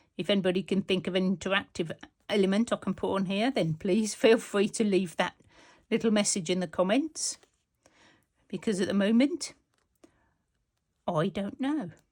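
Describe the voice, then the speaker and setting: A woman with a Birmingham accent, somewhat breathy and medium in pitch, at a moderate pace with long, frequent pauses, in a very clean recording with a silent background. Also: ordinary pitch variation. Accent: Brummie. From Birmingham, England. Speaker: textile art youtuber. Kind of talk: casual tutorial. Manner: chatty.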